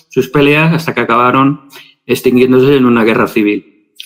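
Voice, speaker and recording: A man's medium-pitched voice at a moderate pace, with ordinary pitch variation. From Spain, Valencia. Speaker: religious scholar. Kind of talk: interview.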